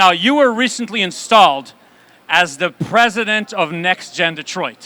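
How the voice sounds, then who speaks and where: Using a raised, projected voice, a man speaks at a moderate pace with lively intonation. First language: Yiddish. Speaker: rabbi and event host. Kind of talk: live event interview.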